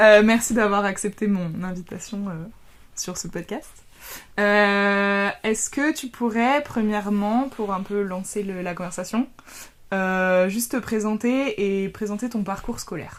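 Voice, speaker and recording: The background is silent and the recording very clean. A woman talks very slowly. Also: medium pitch for a woman, ordinary pitch variation. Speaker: podcast host. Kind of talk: podcast interview questions.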